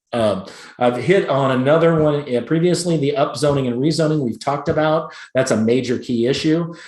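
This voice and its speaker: A fairly high-pitched man with an American accent, at a fairly quick pace, ordinary pitch variation and audible room echo. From Chicago. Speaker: real estate agent. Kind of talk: presentation. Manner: fast.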